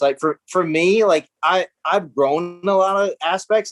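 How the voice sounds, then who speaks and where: Over music in the background, a man speaks with a dry, close sound and no echo. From US South, small-town South Carolina. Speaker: pastor, former adult film actor. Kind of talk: interview testimony. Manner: halting, many fillers and restarts.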